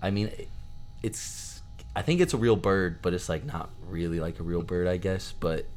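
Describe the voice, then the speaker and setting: Ordinary pitch variation is heard in this voice, along with audible room echo. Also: man, very deep, low pitch for a man, moderate pace. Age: 20s. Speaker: college aviation student. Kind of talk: casual chat.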